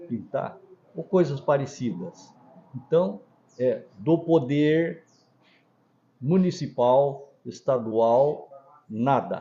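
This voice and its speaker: At a very slow pace, a man talks in a fairly high pitch. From Brazil, coastal Paraná (Antonina). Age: 70s. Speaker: pharmacy owner. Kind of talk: interview.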